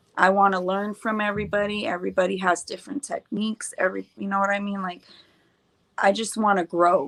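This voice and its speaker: At a fairly quick pace, a woman speaks in an ordinary speaking voice at medium pitch with fairly even intonation. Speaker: paintless dent repair technician. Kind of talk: casual podcast chat.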